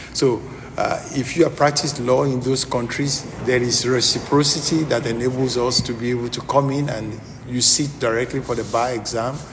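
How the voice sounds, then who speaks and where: Over noticeable background noise and audible room echo, a man with a strong Nigerian accent and a medium pitch speaks at a moderate pace in a flat monotone. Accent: Nigerian, thick. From southwest Nigeria. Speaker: lawyer. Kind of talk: interview. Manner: halting.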